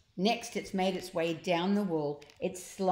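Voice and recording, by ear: Fairly even intonation in natural-voiced reading aloud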